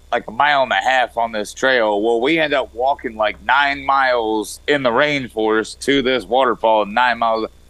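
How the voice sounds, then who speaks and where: A man talks with a Southern US accent. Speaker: regular guest. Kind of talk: casual chat. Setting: video call.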